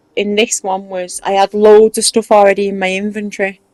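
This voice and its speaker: A woman talks fairly quickly in a strong Mancunian accent. Her intonation is flat and monotone, and the sound is dry and close with no echo. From Manchester, northern England. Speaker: gaming video creator. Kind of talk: casual tutorial chat.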